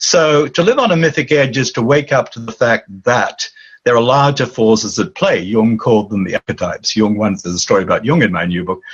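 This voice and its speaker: A man's medium-pitched, somewhat breathy voice moves at a fairly quick pace with lively intonation. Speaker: author and dream teacher. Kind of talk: interview. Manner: animated.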